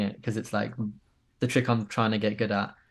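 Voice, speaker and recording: In a southern English accent, a man speaks at medium pitch against a quiet background. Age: 20s. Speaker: skateboard filmer. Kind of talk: casual chat.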